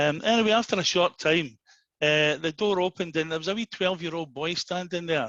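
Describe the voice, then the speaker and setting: Talking at a fairly quick pace with a Glaswegian accent, a man shows ordinary pitch variation in a dry, close sound with no echo. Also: quiet background. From Scotland, Glasgow. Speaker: after-dinner speaker. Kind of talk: after-dinner speech.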